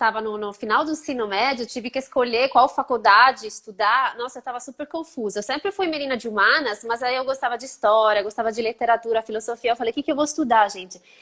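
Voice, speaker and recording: A woman with a high voice and a slight Italian accent speaks with hardly any pauses, ordinary pitch variation and big swings in loudness. The recording is very clean, with a silent background. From Italy. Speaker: art historian. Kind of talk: interview. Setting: live stream.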